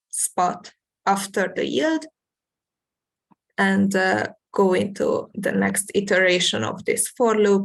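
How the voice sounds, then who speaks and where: The woman's pitch is medium. She talks at a very slow pace. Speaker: university lecturer. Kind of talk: lecture. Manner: hesitant, many fillers.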